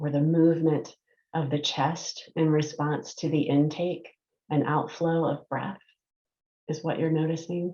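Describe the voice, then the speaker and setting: A woman speaks in a calm tone at a very deep, low pitch. Her pace is fairly slow and her intonation monotone and flat. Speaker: licensed mental health counselor, meditation guide. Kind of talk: guided meditation. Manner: calm, slow, soft-spoken.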